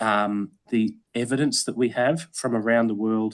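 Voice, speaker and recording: A man with an Australian accent speaks at a medium pitch with ordinary pitch variation against a quiet background. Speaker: environmental educator. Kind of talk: Q&A answer at online meeting. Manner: hesitant, many fillers.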